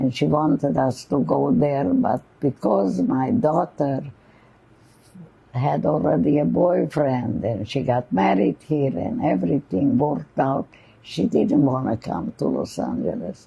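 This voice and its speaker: A woman speaks at a fairly slow pace with vocal fry. Her pitch is very deep and low, with very wide pitch swings. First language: not English. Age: 90s. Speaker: Holocaust survivor. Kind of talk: oral history interview.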